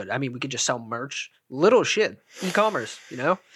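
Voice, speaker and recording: A man speaks in a plain, everyday voice at a fairly quick pace. His pitch varies in an ordinary way. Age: 20s. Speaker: podcast co-host. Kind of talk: casual chat.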